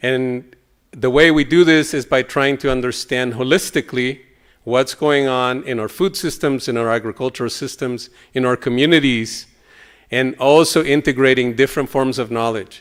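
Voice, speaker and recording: A man with a Spanish accent speaks with fairly even intonation on a very clean recording with a silent background. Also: medium pitch for a man, moderate pace. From El Salvador. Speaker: professor. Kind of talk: keynote lecture. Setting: conference stage with audience.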